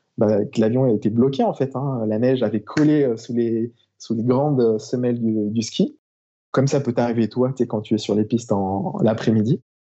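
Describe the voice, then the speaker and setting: With an ordinary speaking voice, a man talks at medium pitch and a moderate pace, using ordinary pitch variation. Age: 30s. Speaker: airline-style professional pilot and mountain flyer. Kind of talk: casual interview.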